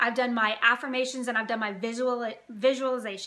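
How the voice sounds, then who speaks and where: A woman's high voice at a fairly quick pace. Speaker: lifestyle vlogger. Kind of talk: casual vlog chat. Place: home room. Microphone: phone near.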